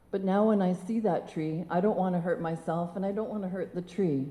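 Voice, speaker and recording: A woman talks at a moderate pace in a medium pitch, her tone dark and mellow. Room echo is audible. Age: 60s. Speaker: motivational speaker. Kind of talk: personal story talk on stage.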